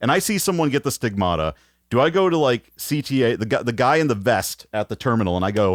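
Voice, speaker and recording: Speaking very fast with an American accent, a man at medium pitch makes very wide pitch swings while holding his loudness very even, in a very clean, dry, close recording with no echo and a silent background. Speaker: podcast host. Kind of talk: casual chat.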